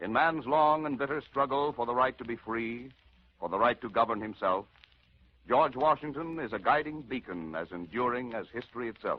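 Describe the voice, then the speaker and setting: A man's unremarkable speaking voice at medium pitch, lively in intonation and moderate in pace. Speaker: radio actor. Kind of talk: dramatic radio narration. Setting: 1940s radio broadcast.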